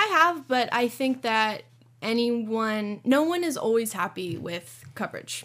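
In a very clean recording with a silent background, a woman with a Californian accent speaks at a fairly slow pace, her fairly high pitch carrying lively intonation. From Southern California, Orange County. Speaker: newspaper editor. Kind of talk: casual interview.

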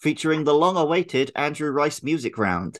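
This man has a British accent and a fairly high pitch. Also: very clean recording, silent background. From UK. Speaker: podcast co-host. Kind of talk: casual chat.

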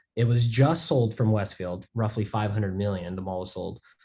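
A somewhat breathy voice with a dark, mellow tone and an American accent, at a moderate pace against a quiet background. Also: man. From Las Vegas, US. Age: 20s. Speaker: entrepreneur. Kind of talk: interview.

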